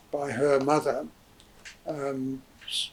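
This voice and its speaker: The man's voice sits fairly high in pitch. Noticeable noise runs in the background. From southern England (Hayes, Middlesex). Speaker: interviewee recounting family history. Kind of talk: oral history interview. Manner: halting, many fillers.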